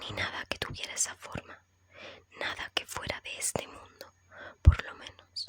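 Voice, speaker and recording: Over noticeable background noise, a woman whispers fairly slowly with long, frequent pauses and big swings in loudness. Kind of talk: ASMR horror story reading. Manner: soft, relaxing, whispery.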